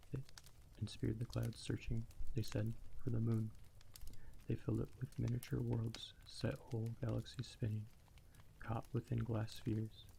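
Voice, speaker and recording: A soft-spoken man talks at a moderate pace. He leaves long, frequent pauses. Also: very even loudness. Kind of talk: ASMR audiobook reading. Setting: crackling fire in the background. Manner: quiet, soft.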